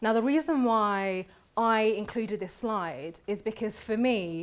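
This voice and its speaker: A woman with a Birmingham accent, fairly high pitch, ordinary pitch variation and a fairly slow pace, in a very clean recording with a silent background. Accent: Birmingham (Brummie). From England, Birmingham (West Midlands). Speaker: barrister. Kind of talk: lecture. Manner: conversational.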